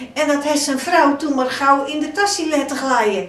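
With a South Holland accent, this woman speaks at a high pitch over light background noise, and the room echo is audible. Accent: Hoeksche Waard dialect. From Hoeksche Waard, Netherlands. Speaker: storyteller. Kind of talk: folk story telling. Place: home room.

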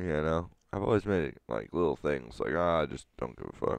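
Over a quiet background, a man speaks at a moderate pace in a very deep, low pitch. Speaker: podcast co-host. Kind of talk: casual chat.

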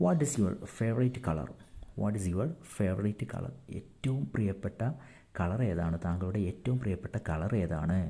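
A man with a fairly low voice, dark and mellow in tone and somewhat breathy. His intonation is lively, and the recording is very clean against a silent background. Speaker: English tutor. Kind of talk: tutorial.

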